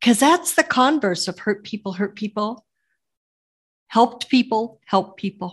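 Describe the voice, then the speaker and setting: In a dry, close sound with no echo, a woman with a fairly high pitch speaks somewhat breathily at a fairly slow pace, with lively intonation. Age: 70s. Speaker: podcast host. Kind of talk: casual interview chat.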